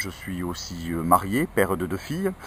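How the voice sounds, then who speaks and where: This is a man speaking. His pitch is fairly low. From France, Ariège. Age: 50s. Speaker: politician. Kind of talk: interview. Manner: hesitant, many filler sounds.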